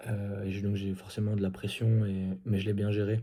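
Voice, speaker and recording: Soft-spoken and somewhat breathy, a man talks at a fairly low pitch with a dark, mellow tone. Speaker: CrossFit athlete vlogger. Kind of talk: casual vlog recap. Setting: indoors at night. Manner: hesitant, many fillers.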